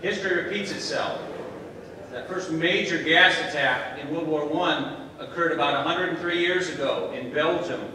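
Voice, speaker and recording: Amid strong room echo and light background noise, a man with a high pitch talks at a moderate pace with fairly even intonation. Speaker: conference host. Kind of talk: welcome speech to an audience. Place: hall. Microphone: camera far.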